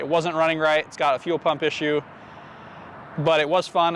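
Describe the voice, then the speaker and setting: Talking at a fairly quick pace, a man uses a normal speaking voice with a fairly high pitch. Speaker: car YouTuber. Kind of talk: casual vlog talk. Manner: casual, self-correcting.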